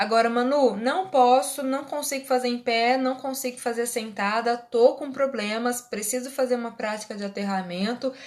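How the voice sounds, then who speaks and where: A high-pitched woman's voice at a moderate pace, fairly even in intonation, with hardly any pauses. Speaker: Reiki teacher and therapist. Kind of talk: live online class. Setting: livestream.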